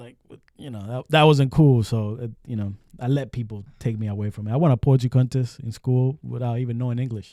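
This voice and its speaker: A man's dark, mellow voice with an American accent, fairly quick pace, and big swings in loudness. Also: medium pitch for a man, fairly even intonation. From Lowell, Massachusetts. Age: 30s. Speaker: podcast host. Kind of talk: casual interview chat. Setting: studio.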